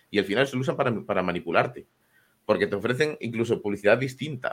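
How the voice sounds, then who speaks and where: Speaking at a very fast pace, a man shows ordinary pitch variation. The recording is very clean, with a silent background. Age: 20s. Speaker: programmer and co-host. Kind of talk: casual chat. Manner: animated.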